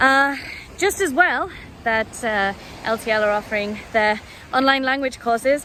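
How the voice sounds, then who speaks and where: A woman with a British accent speaks at a high pitch and a moderate pace. Her intonation is lively, with long, frequent pauses. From United Kingdom. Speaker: language student. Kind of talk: testimonial. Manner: casual, hesitant with fillers.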